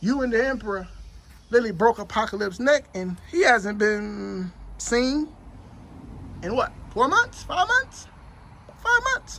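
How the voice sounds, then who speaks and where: Long, frequent pauses break up the fairly slow speech, with noticeable background noise behind it. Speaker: backyard wrestling interviewer. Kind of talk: press conference interview questions. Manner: casual.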